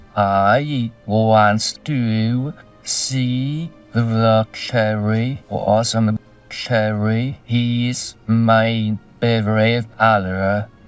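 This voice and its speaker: Over faint background music, a man uses a put-on character voice at medium pitch and a very slow pace. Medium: comedy sketch. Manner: halting, garbled phrasing.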